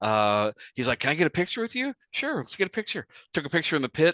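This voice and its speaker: This speaker talks at a very fast pace with an American accent, the pitch swinging very widely. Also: man. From United States. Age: 50s. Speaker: radio host. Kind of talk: casual chat.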